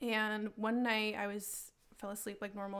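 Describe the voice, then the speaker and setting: A woman talks in an unremarkable speaking voice at medium pitch and a moderate pace. The recording is very clean, with a silent background. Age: 20s. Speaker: artist and roller derby player. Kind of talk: casual interview, personal paranormal stories.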